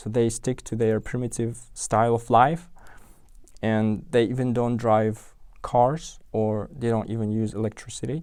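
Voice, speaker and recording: In an Uzbek accent, a man at a medium pitch speaks at a fairly slow pace with fairly even intonation. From Uzbekistan, Tashkent. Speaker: software engineer. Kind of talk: interview. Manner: halting, many fillers and restarts.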